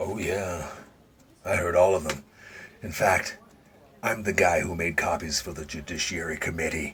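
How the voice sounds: Using a put-on character voice, a man with a very deep, low pitch sounds raspy, keeps his intonation fairly even, and moves at a moderate pace with long, frequent pauses.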